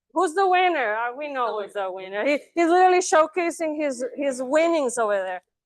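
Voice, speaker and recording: Against a quiet background, a woman speaks loudly at a high pitch with lively intonation. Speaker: student presenter. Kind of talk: Q&A after class presentation. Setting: classroom, streamed online. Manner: hesitant, many fillers.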